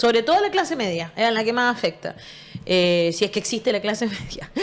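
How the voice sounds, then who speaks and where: Speaking at a fairly quick pace, a woman uses a fairly high pitch with very wide pitch swings. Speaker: radio show host. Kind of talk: interview.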